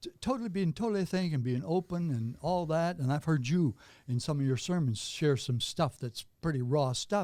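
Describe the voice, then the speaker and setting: With a dark, mellow tone, a man talks at a fairly high pitch and a fairly quick pace, his intonation lively. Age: 80s+. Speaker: pastor. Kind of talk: interview answer. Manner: energetic, passionate.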